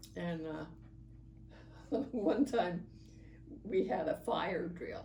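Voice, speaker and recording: Against noticeable background noise, a woman speaks with lively intonation in a fairly low pitch. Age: 80s+. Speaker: oral history interviewee. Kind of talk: interview answer.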